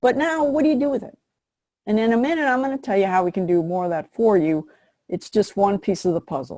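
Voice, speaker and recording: Talking at a very fast pace, a woman with a medium pitch has a dark, mellow tone. Her pitch swings very widely. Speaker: business coach. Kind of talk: webinar presentation. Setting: online webinar. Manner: casual, energetic.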